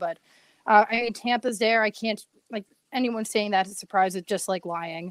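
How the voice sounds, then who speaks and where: A woman's medium-pitched voice, very fast and upbeat, with a dry, close sound and no echo. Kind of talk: casual hockey analysis chat. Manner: chatty, fluent, upbeat.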